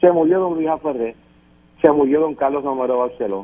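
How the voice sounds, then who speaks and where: A man's fairly high voice shifts in pitch in an ordinary way as he talks at a moderate pace. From Puerto Rico. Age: 60s. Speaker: political panelist. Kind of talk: political panel discussion. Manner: emphatic.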